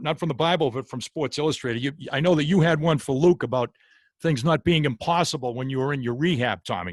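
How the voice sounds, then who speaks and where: Recorded with a dry, close sound and no echo, a man with an American accent speaks very fast at a fairly high pitch with ordinary pitch variation. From Boston area, US. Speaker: podcast host. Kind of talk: interview podcast. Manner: frequent hesitations and fillers.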